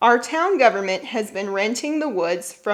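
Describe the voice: Lively intonation in plain reading aloud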